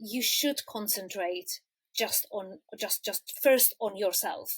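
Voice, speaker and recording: A woman with a Czech accent speaks at a very slow pace, recorded with a dry, close sound and no echo. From Czech Republic. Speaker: quilter. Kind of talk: interview answer.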